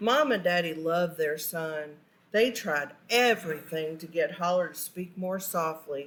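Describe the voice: A woman's fairly low pitch with a fairly bright tone and ordinary pitch variation. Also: fairly slow pace.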